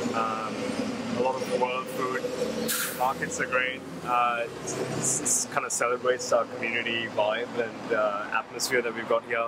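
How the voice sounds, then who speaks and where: Loud background noise fills the clip. Over it, a man talks at a fairly slow pace. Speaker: student and local resident. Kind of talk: street interview. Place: street.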